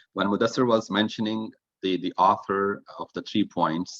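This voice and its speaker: At a moderate pace, a man speaks with fairly even intonation in a dry, close sound with no echo. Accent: non-native. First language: not English. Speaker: toastmasters club member, grammarian. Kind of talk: evaluation report at online club meeting. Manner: halting, with fillers and repeats.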